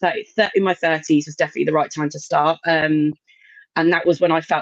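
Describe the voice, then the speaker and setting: At a fairly quick pace, a woman speaks in an ordinary speaking voice with a fairly low pitch. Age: 40s. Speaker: burlesque performer. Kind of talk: casual chat.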